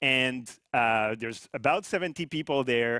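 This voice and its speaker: A man speaks with a French-Canadian accent at a fairly slow pace. His pitch variation is ordinary. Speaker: company CEO. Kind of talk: corporate presentation.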